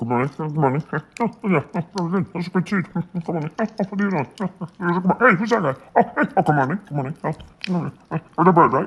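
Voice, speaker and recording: This put-on character voice moves at a fairly quick pace with a middle pitch. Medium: voice reel.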